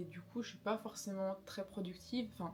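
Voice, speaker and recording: Music plays in the background behind a woman. She has a medium pitch and fairly even intonation. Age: 20s. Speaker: craft YouTuber. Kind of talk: casual chat. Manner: conversational.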